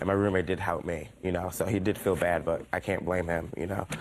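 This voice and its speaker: A man puts on a character voice that is raspy and very deep, with a very low pitch. He speaks at a fairly quick pace in a monotone, flat intonation. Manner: fast talking.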